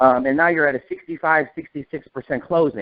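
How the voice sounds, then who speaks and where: This man has a fairly high pitch and an American accent. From northern US. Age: 40s. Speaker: insurance agency manager. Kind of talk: training talk on a conference call. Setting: phone call. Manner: fast.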